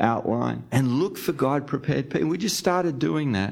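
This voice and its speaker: A man with an Australian accent, over noticeable background noise. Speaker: podcast host and church-planting ministry leader. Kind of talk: interview conversation.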